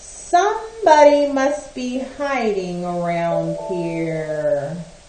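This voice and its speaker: A female-sounding, put-on character voice at a middle pitch moves at a very slow pace, with slight echo and clear background noise. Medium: read story.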